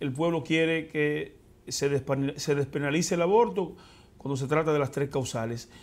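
A man talks at an unhurried, moderate speed, his pitch rising and falling in an ordinary way. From Dominican Republic, Elías Piña province; Dominican Republic. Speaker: senator. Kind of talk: interview. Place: studio. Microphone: lapel.

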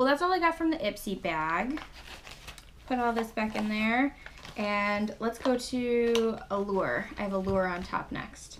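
A woman's fairly high voice with lively intonation at a fairly slow pace, over light background noise. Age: 20s. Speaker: beauty YouTuber. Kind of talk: casual unboxing vlog. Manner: animated. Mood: cheerful, mildly excited. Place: home room. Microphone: webcam.

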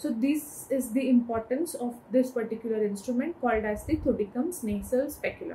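A woman's high-pitched voice with a dark, mellow tone, ordinary pitch variation and a fairly quick pace, over light background noise. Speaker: medical educator. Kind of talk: lecture. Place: home room.

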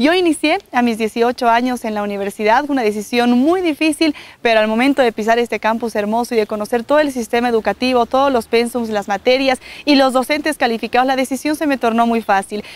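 A woman's high-pitched voice at a fairly quick pace, ordinary pitch variation, dry sound with no echo. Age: 20s. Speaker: TV presenter and university student; TV presenter. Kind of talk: promotional testimonial. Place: open country. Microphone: lapel.

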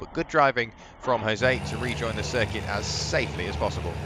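A man speaks in an animated tone. Noticeable background noise runs behind him. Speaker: race commentator. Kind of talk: race highlights commentary, voiceover. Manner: fluent, brisk and animated, describing on-track action.

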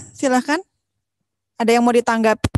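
A woman speaks in a high voice with ordinary pitch variation. Light background noise can be heard. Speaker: webinar moderator. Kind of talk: moderating. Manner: formal. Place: hall. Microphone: earbuds.

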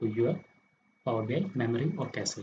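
A man speaks quietly at a medium pitch. His voice is somewhat breathy. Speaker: software tutor. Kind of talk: screen-recorded software tutorial. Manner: quiet, low volume.

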